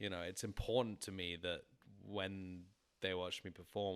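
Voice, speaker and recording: In a very clean recording with a silent background, a man with an English accent speaks at a fairly low pitch. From England. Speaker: musician. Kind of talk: casual chat.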